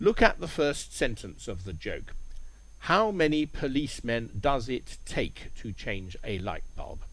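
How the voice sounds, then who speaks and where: A fairly slow pace with big swings in loudness. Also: man. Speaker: English teacher. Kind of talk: language lesson narration. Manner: clear.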